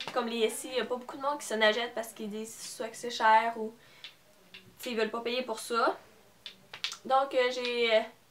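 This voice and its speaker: A woman's fairly high voice at a fairly quick pace, monotone and flat, with big swings in loudness, long, frequent pauses and noticeable background noise. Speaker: beauty vlogger. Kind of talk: haul video with giveaway. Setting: at home, parents in background. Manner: hesitant, many fillers.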